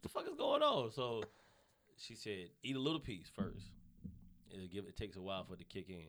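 In a Southern US accent, a man speaks fairly quickly at a fairly low pitch with ordinary pitch variation. His loudness swings widely, and he takes long, frequent pauses. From US South, North Carolina. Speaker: comedian. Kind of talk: casual chat. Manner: fast talker.

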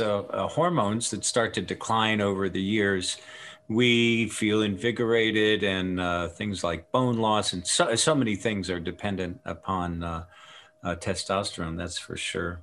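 With an unremarkable speaking voice, a man talks at a fairly slow pace in a fairly low pitch, his pitch moving in an ordinary way. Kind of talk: interview with product pitch.

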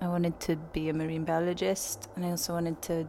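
With a Welsh accent, a woman speaks at a moderate pace in a fairly low pitch. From Wales. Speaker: musician. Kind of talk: casual interview.

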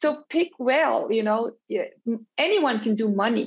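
A woman speaks in a fairly high pitch at a moderate pace. Her voice is somewhat breathy. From Switzerland and Colombia. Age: 50s. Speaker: startup founder and executive. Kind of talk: interview.

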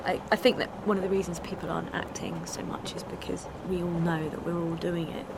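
Audible room echo and noticeable background noise accompany a woman speaking at a fairly quick pace. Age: 30s. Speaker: activist, music teacher. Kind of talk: casual interview and on-the-spot reporting.

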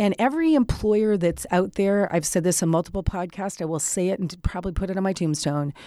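A woman talks in a normal speaking voice at a fairly quick pace, with medium pitch and ordinary pitch variation. The recording is very clean, with a silent background. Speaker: podcast host and business strategist. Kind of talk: casual interview chat.

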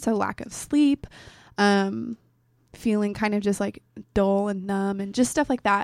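Recorded with a dry, close sound and no echo, a woman with an American accent talks at a moderate pace in a fairly high pitch, a plain, everyday voice. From Oregon, Portland area. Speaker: college student guest. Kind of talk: casual interview. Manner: laughs often, playful.

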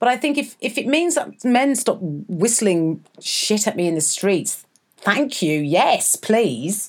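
Speaking at a very slow pace in a London accent, a woman has a fairly high pitch. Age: 40s. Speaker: podcast co-host, actor. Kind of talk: casual chat. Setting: in a flat.

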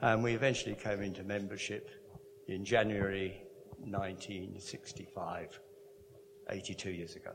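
Over noticeable background noise and audible room echo, a man with a fairly low pitch talks in fairly even intonation, with big swings in loudness and long, frequent pauses. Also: fairly slow pace. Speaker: church member. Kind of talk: testimony. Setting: church.

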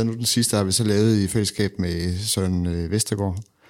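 Fairly even intonation and a fairly low pitch in a man's voice, a normal speaking voice. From Denmark, Randers (East Jutland). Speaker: guitarist and music producer. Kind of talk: casual interview. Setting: studio.

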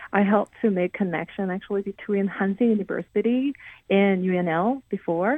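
Using a Korean accent, a woman talks at a moderate pace in a medium pitch with ordinary pitch variation. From South Korea. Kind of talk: radio interview. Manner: halting.

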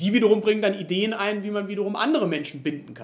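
This is a man speaking. His pitch is high. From Germany, Rhineland-Palatinate (Idar-Oberstein). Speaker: pastor, candidate for church superintendent. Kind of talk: interview. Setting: in person at his place. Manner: hesitant with frequent fillers.

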